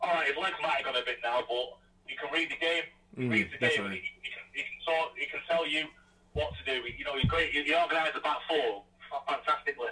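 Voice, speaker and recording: A man talks at a very fast pace with a Mancunian accent. Noticeable background noise is present. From northern England, Salford. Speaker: former footballer. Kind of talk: casual interview. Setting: away from home.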